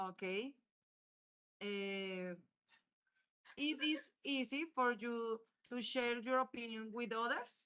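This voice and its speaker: Very slow, bright, sharp speech with a Colombian accent, ordinary pitch variation, and long, frequent pauses. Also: woman, fairly high pitch for a woman. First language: Spanish. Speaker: university student. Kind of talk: interview. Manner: halting.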